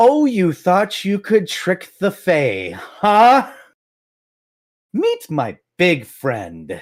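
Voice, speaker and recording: Using a put-on character voice, a man speaks very slowly at a high pitch on a very clean recording with a silent background. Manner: laughing, mocking.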